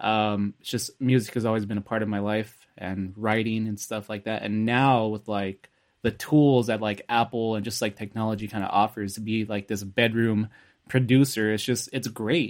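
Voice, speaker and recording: A man's fairly low voice in a Californian accent, moderate pace, monotone and flat intonation, on a very clean recording with a silent background. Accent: Californian American English. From US West Coast, Los Angeles. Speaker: music producer. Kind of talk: casual chat. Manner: laid-back, laughs often.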